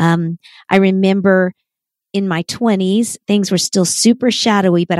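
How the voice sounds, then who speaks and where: In an unremarkable speaking voice, a woman speaks at a fairly slow pace with a medium pitch and fairly even intonation, the sound dry and close with no echo. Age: 50s. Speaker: author and Bible teacher. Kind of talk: interview.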